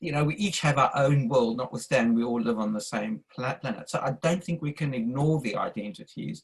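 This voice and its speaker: The man talks at a fairly quick pace. His pitch is medium, with ordinary variation. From South Africa. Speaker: audience member in interfaith discussion. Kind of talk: q&a statement at online talk. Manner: halting, with restarts.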